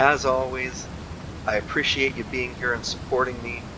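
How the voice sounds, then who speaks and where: Male voice of medium pitch at a moderate pace, amid noticeable background noise. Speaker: gaming youtuber. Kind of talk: game tutorial.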